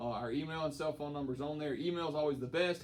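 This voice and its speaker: A man with an American accent at a very fast pace, intonation fairly even. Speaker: high school football coach. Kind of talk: informational briefing to parents.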